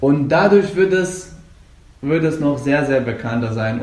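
Audible room echo and noticeable background noise come through. A man talks with a fairly high pitch. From Afghanistan. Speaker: Brazilian jiu-jitsu coach and competitor. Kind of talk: interview. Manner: halting.

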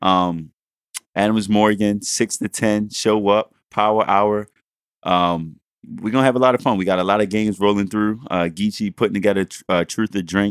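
On a very clean recording with a silent background and a dry, close sound with no echo, a man speaks at a moderate pace and a fairly low pitch with fairly even intonation. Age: 20s. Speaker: podcast co-host. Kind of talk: casual chat.

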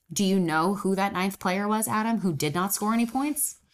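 On a very clean recording with a silent background, a woman with an animated tone speaks at a medium pitch and moderate pace with ordinary pitch variation. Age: 20s. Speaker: sports podcast co-host. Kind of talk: casual chat.

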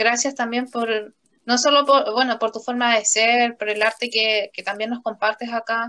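A woman's fairly high, bright, sharp voice at a moderate pace, with monotone, flat intonation. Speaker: language and literature teacher, podcast host. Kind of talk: casual conversation. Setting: empty classroom after school.

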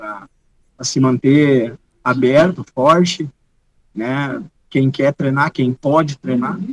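A man speaks at a fairly high pitch with ordinary pitch variation, recorded with a dry, close sound and no echo. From Rio Grande do Sul, Brazil (Gramado, Montenegro). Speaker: jiu-jitsu teacher and competitor. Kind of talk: casual interview chat. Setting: remote video call.

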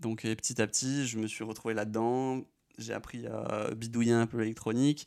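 Very clean, with a silent background, this recording has a man speaking at medium pitch. His delivery is monotone and flat, at a moderate pace. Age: 20s. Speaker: drone pilot YouTuber. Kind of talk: Q&A video. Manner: casual.

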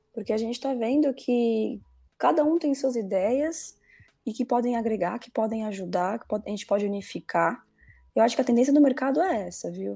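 Music plays behind a woman who speaks at a moderate pace in a fairly high pitch, with lively intonation and big swings in loudness. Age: 20s. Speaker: marketing executive. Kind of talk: interview.

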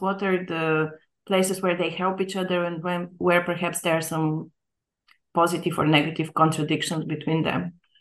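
This is an ordinary speaking voice. Its intonation is fairly even. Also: woman. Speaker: academic interviewer. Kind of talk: interview.

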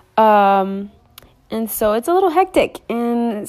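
In a very clean recording with a silent background, a woman with a Spanish accent speaks at a fairly high pitch. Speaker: podcaster and small business owner. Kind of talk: casual vlog-style monologue. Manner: hesitant, many fillers.

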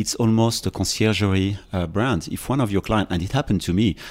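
In a French accent, a man talks at a fairly quick pace with a very deep, low pitch. His intonation is fairly even, and the recording is very clean with a silent background. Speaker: fashion and design executive. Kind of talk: interview. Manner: halting.

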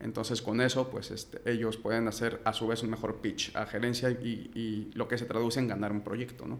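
The speech runs on with hardly any pauses in a monotone, flat intonation. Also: man, medium pitch for a man, moderate pace. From Mexico City. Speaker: engineering company director. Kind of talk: interview. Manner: halting.

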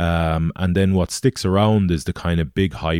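A speaker with a western Irish accent talks at a moderate pace with fairly even intonation, in a dry, close sound with no echo on a very clean recording with a silent background. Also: man. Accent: Irish (west of Ireland). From Galway, Ireland. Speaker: former rugby player and extreme adventurer. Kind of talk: interview. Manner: halting.

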